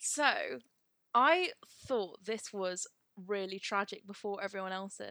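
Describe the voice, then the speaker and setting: A woman's medium-pitched voice with a bright, sharp tone, ordinary pitch variation, a fairly slow pace and long, frequent pauses. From Devon, near Plymouth. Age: 20s. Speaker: podcast co-host. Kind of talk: casual chat.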